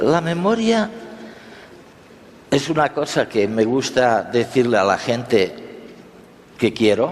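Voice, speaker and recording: A man at a very slow pace with long, frequent pauses, medium pitch, very wide pitch swings and very even loudness, plus noticeable background noise. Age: 70s. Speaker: conference speaker. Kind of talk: lecture.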